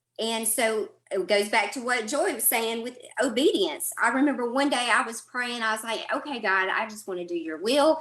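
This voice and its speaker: With a strong Southern US accent, a woman speaks at a fairly high pitch with lively intonation. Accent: thick Southern drawl. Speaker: podcaster and mentor. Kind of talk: roundtable discussion.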